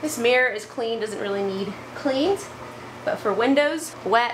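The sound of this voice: The pitch varies in an ordinary way. Faint background noise can be heard. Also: woman.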